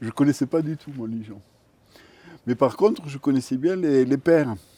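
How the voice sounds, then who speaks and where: This man's medium-pitched voice moves with lively intonation. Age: 60s. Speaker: retired care assistant, pilgrim. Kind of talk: interview testimony. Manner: hesitant, many fillers.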